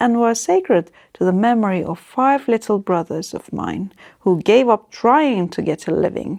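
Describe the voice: Someone does plain reading aloud.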